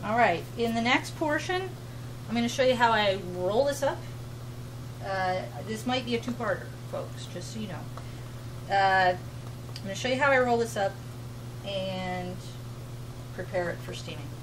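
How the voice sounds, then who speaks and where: Her loudness swings widely as she talks at a moderate pace, with long, frequent pauses. Audible room echo surrounds the woman's voice. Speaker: fiber arts vlogger. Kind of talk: tutorial. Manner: casual.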